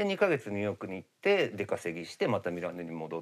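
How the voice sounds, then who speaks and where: His pitch rises and falls in very wide swings. The man keeps up a fairly quick pace. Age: 50s. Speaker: makeup artist; guest. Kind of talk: casual chat. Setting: studio. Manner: hesitant, many fillers. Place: studio. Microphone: lapel.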